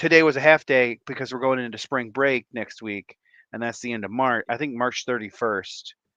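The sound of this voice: Quiet background behind an unforced reading voice, its pitch varying in an ordinary way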